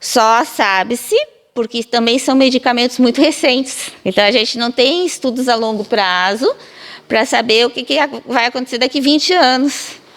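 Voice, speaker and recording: A high-pitched woman's voice against noticeable background noise. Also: ordinary pitch variation, moderate pace. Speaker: physiotherapy professor. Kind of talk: interview answer, explanatory.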